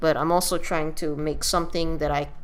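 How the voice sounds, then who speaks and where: Fairly even in intonation, a woman with a very deep, low voice speaks amid audible room echo. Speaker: gaming video creator. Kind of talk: let's play commentary. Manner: halting, many fillers.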